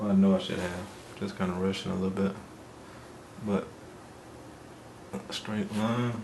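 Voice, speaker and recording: A soft-spoken man's fairly low voice, flat and monotone, with long, frequent pauses, audible room echo and noticeable background noise. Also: moderate pace. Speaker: painting teacher. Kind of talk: tutorial. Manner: halting.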